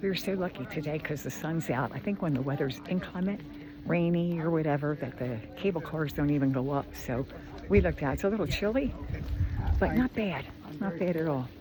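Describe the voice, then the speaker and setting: Noticeable background noise sits behind a woman with a very deep, low voice. She speaks at a fairly quick pace with lively intonation. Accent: American. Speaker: travel vlogger. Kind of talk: casual travel vlog narration. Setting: outdoors on mountain summit. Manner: casual, hesitant with fillers.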